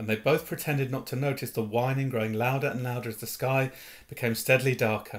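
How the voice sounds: Intonation stays fairly even as the text is read in a natural reading voice.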